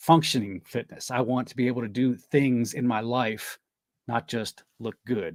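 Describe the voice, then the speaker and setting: An unremarkable speaking voice belongs to a man with an American accent and medium pitch, who talks at a fairly slow pace with fairly even intonation in a dry, close sound with no echo. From Delaware, US. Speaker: health coach. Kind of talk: interview.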